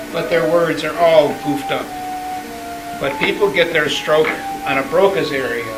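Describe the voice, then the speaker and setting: Lively intonation at a moderate pace, with long, frequent pauses and music in the background. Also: man, fairly high pitch for a man. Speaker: person with aphasia, actor in an aphasia play. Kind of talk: educational explanation to an audience about aphasia.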